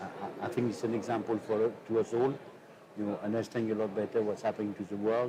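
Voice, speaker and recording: Over noticeable background noise, a man of medium pitch speaks very fast in a monotone, flat intonation. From France. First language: French. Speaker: politician. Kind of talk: interview. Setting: studio. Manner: halting.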